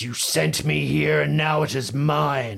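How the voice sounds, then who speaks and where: A man puts on a rumbling character voice with very wide pitch swings. He speaks at a fairly slow pace. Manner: menacing, cold, vengeful.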